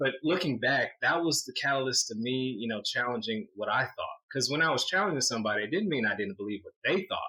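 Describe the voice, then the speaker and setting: Here is an unremarkable speaking voice from a man at medium pitch. He moves at a fairly quick pace with lively intonation and hardly any pauses. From US South, Atlanta Georgia (Stone Mountain). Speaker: investment professional. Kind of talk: podcast interview.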